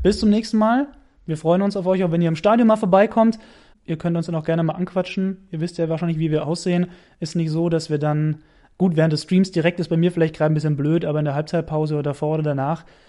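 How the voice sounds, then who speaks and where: A man races along at a very fast pace, his high voice carrying a dark, mellow tone. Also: ordinary pitch variation. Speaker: radio sports commentator. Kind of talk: casual chat. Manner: animated.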